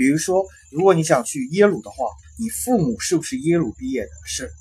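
Using a high pitch, a man swings through a very wide pitch range. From China. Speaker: recent university graduate, former international student. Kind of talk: interview. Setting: host's home. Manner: halting.

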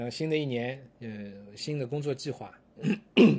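The man has a medium pitch and a somewhat breathy voice. He speaks at a moderate pace. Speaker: podcast host and online course lecturer. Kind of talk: casual monologue. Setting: office.

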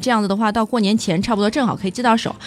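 A woman speaks over noticeable background noise. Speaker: car podcast co-host. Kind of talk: casual chat.

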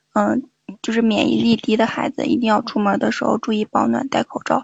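A woman talks with a fairly high pitch and vocal fry. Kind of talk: casual chat. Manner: excited.

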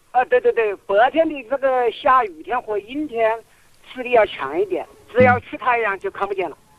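A man with an extremely high pitch speaks at a moderate pace with lively intonation, in a dry, close sound with no echo and noticeable background noise. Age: 60s. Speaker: caller with failing eyesight. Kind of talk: radio call-in question.

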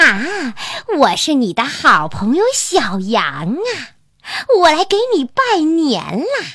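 A woman puts on a character voice, high in pitch and delivered at a very slow pace. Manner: strange, disguised voice; feigned friendliness.

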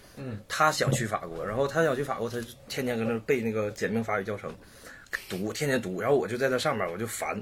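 Speaking at a very fast pace, this man has a medium pitch and ordinary pitch variation. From Shenyang, Liaoning, northeast China. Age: 30s. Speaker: painter. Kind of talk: casual chat.

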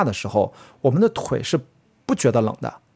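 With very wide pitch swings, a man speaks at a moderate pace in a somewhat breathy voice. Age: 40s. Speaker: trail runner and film producer. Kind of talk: casual interview chat.

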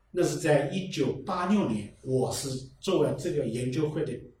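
A man talks at a fairly slow pace and a fairly high pitch. Noticeable background noise and audible room echo surround him. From Fuyang, Zhejiang (rural hills). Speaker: local culture researcher and novelist. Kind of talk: casual chat.

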